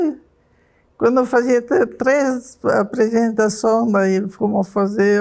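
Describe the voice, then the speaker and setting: A woman at a very slow pace with a fairly high pitch. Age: 80s+. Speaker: senior hip hop dancer. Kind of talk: documentary interview.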